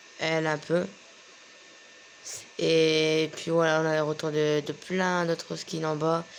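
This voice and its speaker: Long pauses come often as the words unfold very slowly. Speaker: gaming youtuber. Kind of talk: casual gameplay commentary. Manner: halting.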